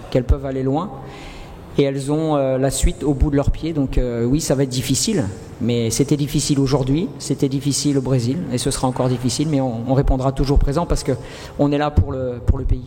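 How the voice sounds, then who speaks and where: Fairly even intonation marks this man's medium-pitched voice at a fairly quick pace. Background noise is noticeable. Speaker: football coach. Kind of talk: press conference. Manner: halting, many fillers and repetitions.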